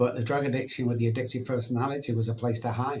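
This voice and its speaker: This is a man talking at a medium pitch. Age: 60s. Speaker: addiction recovery speaker and doctor. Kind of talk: podcast interview. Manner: conversational with fillers.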